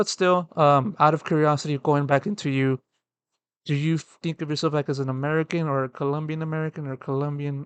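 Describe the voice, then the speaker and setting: A man with a normal speaking voice and fairly high pitch talks at a fairly quick pace, in a dry, close sound with no echo against a quiet background. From Texas, Mexican-American family. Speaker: esports writer and interviewer. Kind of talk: interview.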